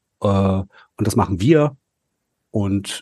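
A man speaks at a fairly low pitch in a dark, mellow, somewhat breathy tone. The sound is dry and close with no echo, over a quiet background. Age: 40s. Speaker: political staffer and amateur actor. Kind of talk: casual chat.

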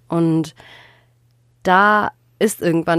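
A woman talks in a normal speaking voice at a fairly low pitch with fairly even intonation. The recording is very clean with a silent background, dry and close with no echo. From Germany, Ruhr area. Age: 20s. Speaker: journalism student and podcast co-host. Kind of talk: casual chat.

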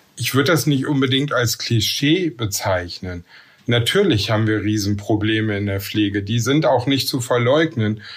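There is a somewhat breathy quality to this man's voice. He keeps a moderate pace. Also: medium pitch for a man, ordinary pitch variation. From Ruhr area / Bergisches Land, western Germany. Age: 50s. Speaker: nurse and works council chair. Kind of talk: interview.

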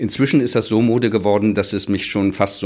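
This man speaks with fairly even intonation. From Chile, then Bremen from age eight. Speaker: literature professor. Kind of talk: casual interview.

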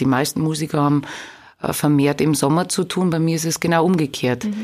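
A woman with a Bavarian accent talks at a very deep, low pitch. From Lower Bavaria (Straubing-Bogen district). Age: 30s. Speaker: singer. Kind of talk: interview.

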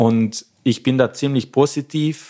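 The voice belongs to a man with a South Tyrolean accent. The recording is very clean, with a silent background. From South Tyrol, Pustertal. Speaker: organist and music lecturer. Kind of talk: interview.

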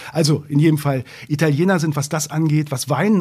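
A man speaks at a fairly quick pace, his pitch fairly high with ordinary variation. His tone is dark and mellow, and somewhat breathy. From northern Germany, Braunschweig. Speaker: journalist and author. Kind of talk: interview. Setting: studio.

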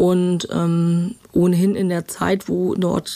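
Dark, mellow tone and fairly even intonation from a woman. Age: 50s. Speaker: crime reporter. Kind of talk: interview. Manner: hesitant, many filler sounds.

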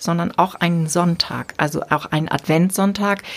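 Here is an ordinary speaking voice. The pitch moves up and down in an ordinary way. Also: woman. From northern Germany, rural Dithmarschen. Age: 50s. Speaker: bishop and podcast host. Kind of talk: casual interview conversation.

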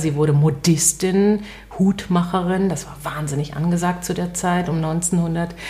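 The voice moves at a fairly slow pace with fairly even intonation against noticeable background noise. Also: woman. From West Berlin. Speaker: radio host and author. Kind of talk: interview conversation.

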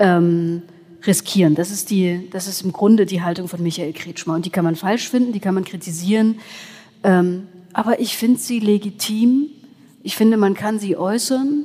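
A woman with an unremarkable speaking voice talks at a moderate pace, her medium pitch showing ordinary pitch variation. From Saxony, Erzgebirge. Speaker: journalist. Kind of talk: live panel discussion. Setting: church with live audience.

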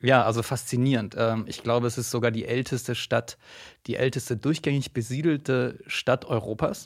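A man speaks at a moderate pace with fairly even intonation and medium pitch. He has an unremarkable speaking voice. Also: very clean recording, silent background. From Argentina. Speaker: government communications officer. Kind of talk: casual chat. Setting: studio.

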